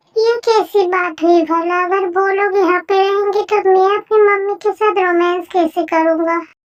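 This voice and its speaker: This woman uses a put-on character voice at an extremely high pitch, her loudness very even. The intonation is flat and monotone, and the pace is moderate. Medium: audio drama. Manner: teasing, flirty.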